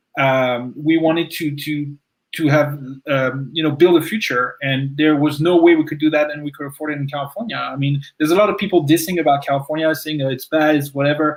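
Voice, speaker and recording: A man's fairly high voice with a French accent, fairly even intonation and a fairly quick pace. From France. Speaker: recent transplant to Texas. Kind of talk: panel interview.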